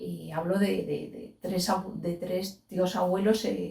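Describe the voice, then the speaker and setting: At a very slow pace, a woman speaks at a medium pitch in a dark, mellow tone with vocal fry. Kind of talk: interview answer.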